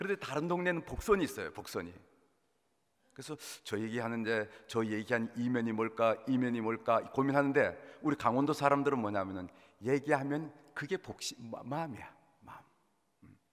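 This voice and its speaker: A man talks at a moderate pace in a medium pitch, with lively intonation and big swings in loudness. He leaves long, frequent pauses. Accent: Gangwon. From Korea, Gangwon (Gangneung). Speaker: pastor. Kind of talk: sermon. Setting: church.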